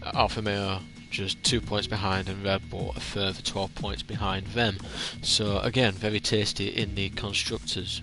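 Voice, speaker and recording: With music in the background, a man with a northern English accent speaks at a fairly low pitch and fairly even intonation. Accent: northern English drawl. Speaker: sim racing league commentator. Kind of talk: live race commentary preview. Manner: hesitant, many fillers.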